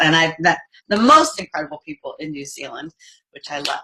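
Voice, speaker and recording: A woman with an American accent talks at a fairly quick pace in a normal speaking voice with fairly low pitch. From United States. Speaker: network marketing leader. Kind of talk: business presentation.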